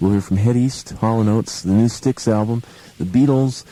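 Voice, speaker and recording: This man has a normal speaking voice. He speaks fairly quickly, with ordinary pitch variation. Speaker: radio DJ. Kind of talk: 1970s album rock radio DJ patter between songs.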